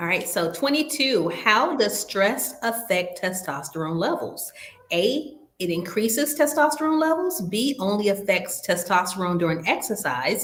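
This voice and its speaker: In a Southern US accent, a woman talks at a fairly high pitch with very wide pitch swings. Noticeable background noise runs underneath. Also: moderate pace. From US South. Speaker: nurse educator hosting a health webinar. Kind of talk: quiz review in an online webinar.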